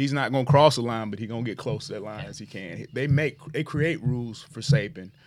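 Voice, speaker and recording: In a very clean recording with a silent background, a man talks fairly quickly in a normal speaking voice, at a medium pitch with ordinary pitch variation. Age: 40s. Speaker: high school football coach. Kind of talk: casual interview.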